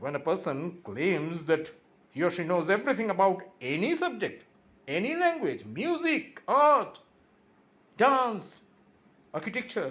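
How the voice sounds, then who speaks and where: A man's high-pitched voice with a Bengali accent, at a fairly slow pace, with very wide pitch swings and long, frequent pauses. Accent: Indian (Bengali) English. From India (Bengal). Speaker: YouTuber. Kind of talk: impassioned monologue. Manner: animated.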